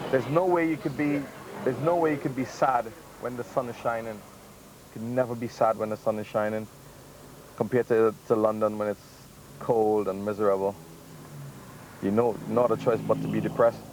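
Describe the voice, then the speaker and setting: Speaking with a Trinidadian accent, a man talks at a medium pitch with ordinary pitch variation. His pace is fairly quick, broken by long, frequent pauses. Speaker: DJ. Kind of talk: casual chat.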